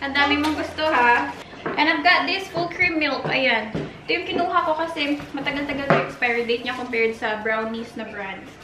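With crowd noise in the background, the speech moves at a moderate pace. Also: woman. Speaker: vlogger. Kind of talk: casual vlog chat. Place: kitchen. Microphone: camera far.

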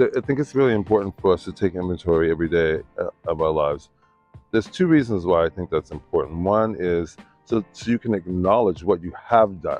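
Over faint background music, a man with a very deep, low pitch speaks at a fairly quick pace. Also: ordinary pitch variation, dry sound with no echo. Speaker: Buddhist practitioner. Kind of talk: interview answer. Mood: warm, earnest, reflective. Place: waterside.

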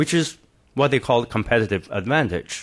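A man speaks with a Chinese accent at a medium pitch. His intonation is lively. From China. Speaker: professor. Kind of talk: panel presentation.

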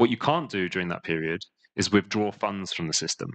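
A man talks at a moderate pace with a fairly bright tone.

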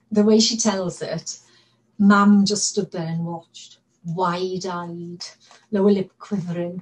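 Monotone, flat intonation at a fairly slow pace. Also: woman. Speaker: actor. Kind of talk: dramatic monologue performance. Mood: warm, fond storytelling. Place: home room. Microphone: webcam.

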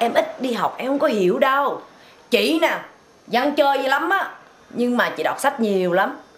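The speech moves at a fairly slow pace with very wide pitch swings over light background noise. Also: woman. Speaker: comic sketch performer. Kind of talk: casual phone chat, comedic monologue. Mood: boastful, playful, animated. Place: home room.

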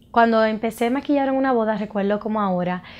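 A woman speaks with a Dominican accent. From Dominican Republic, Santo Domingo; Dominican Republic. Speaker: makeup artist and cosmetics entrepreneur. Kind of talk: personal introduction to camera. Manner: halting, with frequent fillers. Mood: warm, proud. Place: studio.

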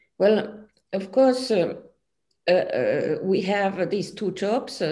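Very slowly, a woman speaks with a dark, mellow tone. Her pitch variation is ordinary. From Finland. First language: Finnish. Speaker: physics professor. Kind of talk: interview. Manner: halting. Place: home room. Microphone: video call.

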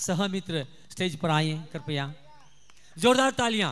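A man's high-pitched voice at a very slow pace, with light background noise. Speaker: stage announcer at felicitation ceremony. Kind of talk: ceremony announcements. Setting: stage with PA system. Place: stage. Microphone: handheld.

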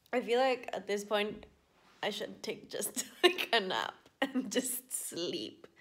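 Ordinary pitch variation runs through speech delivered at a very slow pace. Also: woman, fairly high pitch for a woman. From UK. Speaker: vlogger. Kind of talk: casual vlog monologue. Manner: rambling, chatty. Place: home room. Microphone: phone near.

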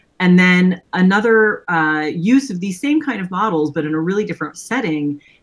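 A woman speaks at a moderate pace with ordinary pitch variation. It is a plain, everyday voice. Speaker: remote interview guest. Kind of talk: interview answer. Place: home room. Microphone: webcam.

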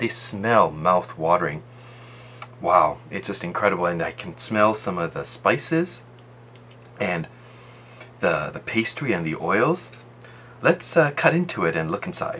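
A man with a fairly low pitch makes very wide pitch swings at a moderate pace. He takes long, frequent pauses over light background noise. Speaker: food reviewer. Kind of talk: casual food review narration.

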